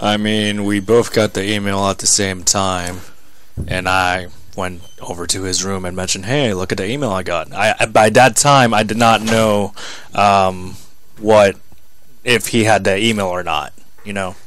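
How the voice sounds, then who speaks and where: A man's fairly low voice with fairly even intonation against noticeable background noise. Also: moderate pace. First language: Spanish. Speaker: wrestler. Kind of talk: casual chat. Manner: less confident in English.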